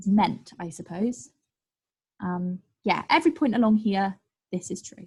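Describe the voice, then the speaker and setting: A somewhat breathy woman's voice at medium pitch. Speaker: maths tutor. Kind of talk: online group tutorial. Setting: live online session. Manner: fast; energetic.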